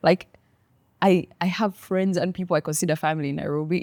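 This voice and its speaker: A woman with a Ugandan accent speaks fairly quickly at a fairly low pitch, recorded dry and close with no echo. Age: 30s. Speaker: lawyer turned content creator. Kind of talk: interview conversation. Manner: animated.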